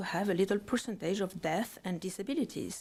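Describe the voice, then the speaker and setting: With a French accent, a woman speaks at a moderate pace in a medium pitch, with ordinary pitch variation. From France. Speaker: parent testifying at public hearing. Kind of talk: public testimony. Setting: legislative committee hearing room. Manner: halting, many fillers.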